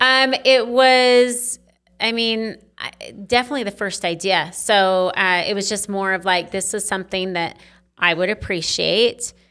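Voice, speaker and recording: An American accent with a bright, sharp tone at a fairly slow pace, on a very clean recording with a silent background. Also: woman, medium pitch for a woman, ordinary pitch variation. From Teton Valley, Idaho (rural US). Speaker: business founder. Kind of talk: interview.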